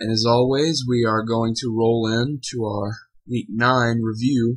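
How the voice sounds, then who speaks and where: This man's voice sits at a medium pitch and comes across somewhat breathy. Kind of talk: fantasy football preview commentary.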